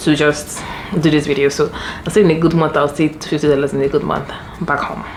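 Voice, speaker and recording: A woman speaks with a Nigerian accent at a very deep, low pitch. Noticeable background noise runs behind her. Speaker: lifestyle vlogger. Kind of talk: casual vlog talk. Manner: fast.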